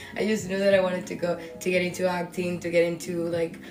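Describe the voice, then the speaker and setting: Noticeable background noise mixed with audible echo from the room. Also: woman. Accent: Spanish. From Dominican Republic. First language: Spanish. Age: 20s. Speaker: podcast host. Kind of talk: casual storytelling monologue. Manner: casual with many fillers.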